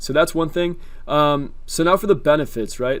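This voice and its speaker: Amid audible room echo, a man with a medium pitch talks at a very fast pace. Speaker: YouTuber teaching rental arbitrage. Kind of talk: tutorial. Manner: casual with many fillers.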